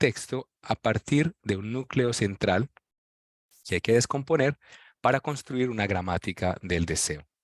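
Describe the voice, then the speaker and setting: A man speaks at a moderate pace with lively intonation, recorded dry and close with no echo over a quiet background. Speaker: professor. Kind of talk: lecture. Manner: reading aloud from text.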